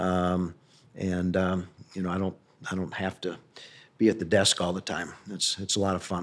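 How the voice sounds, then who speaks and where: With a Midwestern American accent, a man of very deep, low pitch speaks at a moderate pace in a monotone, flat intonation with long, frequent pauses, on a very clean recording with a silent background. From US Midwest, St. Louis, Missouri. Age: 60s. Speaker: real estate company founder. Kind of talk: interview. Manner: hesitant, many fillers.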